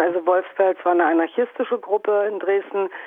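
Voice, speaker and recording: In an ordinary speaking voice, a woman at a medium pitch talks at a moderate pace with fairly even intonation. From Brandenburg, East Germany. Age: 50s. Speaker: anarchist activist. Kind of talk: interview.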